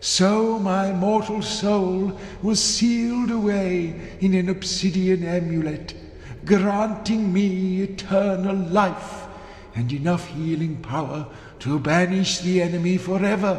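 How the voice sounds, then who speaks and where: A man's put-on character voice, high-pitched and fairly slow, with slight echo and clear background noise. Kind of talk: solemn fantasy game dialogue. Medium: video game. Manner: grandiose, archaic phrasing.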